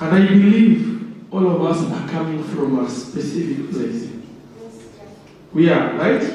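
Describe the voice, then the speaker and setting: A man's high voice with lively intonation at a fairly slow pace, with long, frequent pauses, audible room echo and noticeable background noise. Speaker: workshop speaker. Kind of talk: interactive workshop talk. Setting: room with microphone and audience. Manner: loud.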